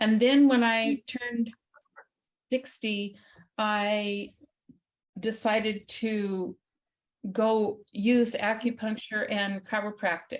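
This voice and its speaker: Speaking at a very slow pace, a woman leaves long, frequent pauses. Her fairly high voice keeps a fairly even intonation. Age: 70s. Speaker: support group member. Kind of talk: personal testimony.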